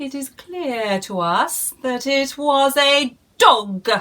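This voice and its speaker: A put-on character voice delivers lively intonation at a very slow pace. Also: woman, high pitch for a woman. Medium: read story. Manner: buzzing, matter-of-fact.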